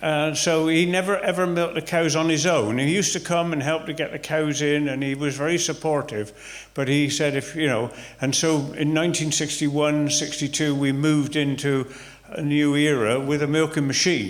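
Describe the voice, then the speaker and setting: A man speaks with a West Country accent at a fairly high pitch. His pace is moderate and his intonation fairly even. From Somerset, England. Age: 70s. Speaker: retired farmer. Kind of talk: interview answer. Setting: village hall, live audience.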